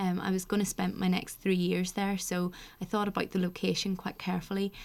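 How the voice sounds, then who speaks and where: A woman talks with a Northern Irish accent at medium pitch and a fairly quick pace. Her intonation is monotone and flat, and the recording is very clean with a silent background. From Northern Ireland. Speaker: university admissions access officer. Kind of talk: casual interview.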